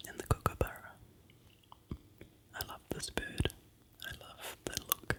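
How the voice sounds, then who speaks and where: Whispering in a New Zealand accent, the speaker goes at a fairly slow pace with long, frequent pauses amid noticeable background noise. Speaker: ASMR creator. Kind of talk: whispered ASMR vlog. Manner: soft-spoken.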